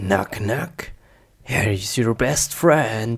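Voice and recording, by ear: Using a put-on character voice, a man speaks at a very slow pace. His pitch is fairly low and his intonation lively.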